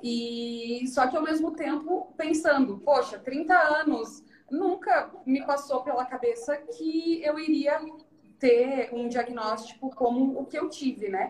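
A very slow, high-pitched woman's voice with ordinary rises and falls in pitch. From Santa Catarina, southern Brazil. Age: 30s. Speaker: financial advisor and cancer survivor. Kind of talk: interview testimony. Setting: Instagram live stream.

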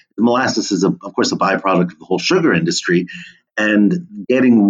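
A normal speaking voice from a man with an American accent, fairly low in pitch, ordinary pitch variation, and a fairly quick pace. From New Jersey (Monmouth County). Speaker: history professor and food historian. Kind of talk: interview conversation.

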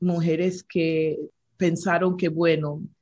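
In a quiet background, a woman speaks at a fairly low pitch in a somewhat breathy voice. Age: 60s. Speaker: regional director of a women's prayer ministry. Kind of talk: interview. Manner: hesitant, with fillers.

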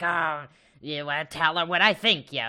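A put-on character voice at a middle pitch moves at a moderate pace over a quiet background. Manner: scheming, gleeful.

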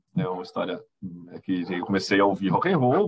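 An ordinary speaking voice, this man talks at a moderate pace with lively intonation. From Brazil, Itapira (São Paulo state). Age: 40s. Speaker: history teacher. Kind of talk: casual chat.

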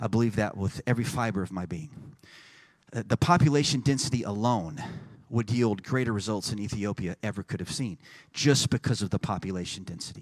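A man's animated, fairly quick delivery with ordinary pitch variation, on a very clean recording with a silent background. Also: medium pitch for a man. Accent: Texan. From Texas. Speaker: pastor. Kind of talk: sermon. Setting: church.

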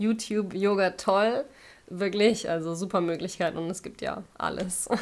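A plain, everyday voice moves at a fairly slow pace with fairly even intonation in a very clean recording with a silent background. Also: woman. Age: 30s. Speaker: yoga teacher and web designer. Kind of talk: casual interview.

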